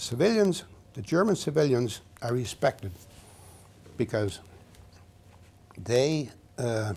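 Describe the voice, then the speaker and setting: A man's medium-pitched voice carries a dark, mellow tone and is somewhat breathy. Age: 80s+. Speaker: war veteran. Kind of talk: interview. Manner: halting.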